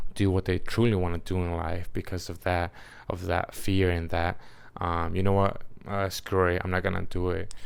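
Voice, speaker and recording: Intonation stays monotone and flat throughout. The recording is very clean, with a silent background. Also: man. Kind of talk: casual talk to camera. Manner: hesitant, many filler words.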